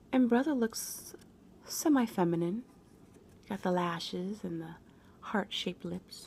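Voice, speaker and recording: A soft-spoken woman whispers, somewhat breathy, at a fairly slow pace. Long, frequent pauses and big swings in loudness mark her delivery. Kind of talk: reading greeting cards aloud. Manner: soft-spoken, whispered.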